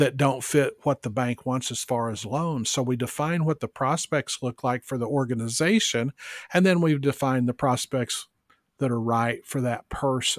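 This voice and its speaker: Recorded very cleanly with a silent background and a dry, close sound with no echo, an ordinary speaking voice moves at a moderate pace with ordinary pitch variation. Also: man. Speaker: benefit auctioneer, business development consultant. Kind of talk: podcast interview answer, business talk.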